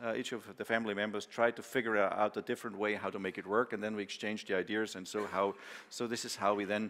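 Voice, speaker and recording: A man with a Bavarian accent, fairly low-pitched, at a very fast pace. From Bavaria, southern Germany. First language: German. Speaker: farmer and machinery company founder. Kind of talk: conference talk. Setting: conference with audience. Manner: casual, filler-heavy with many hesitations.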